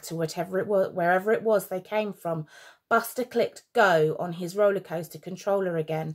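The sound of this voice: The background is quiet throughout. An unforced reading voice carries ordinary pitch variation.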